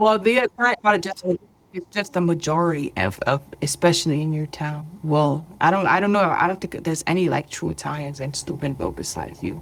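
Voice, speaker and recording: A woman with a New Jersey accent, fairly low-pitched for a woman, with lively intonation and a fairly quick pace. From New Jersey, US. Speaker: podcast guest, host's sister. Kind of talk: casual chat.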